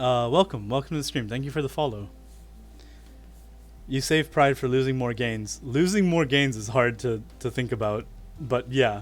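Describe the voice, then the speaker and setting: With faint music in the background, a man with an American accent speaks at a medium pitch, using ordinary pitch variation and long, frequent pauses. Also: moderate pace. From United States. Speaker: streamer teaching Japanese. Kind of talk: casual live-stream chat. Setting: live stream.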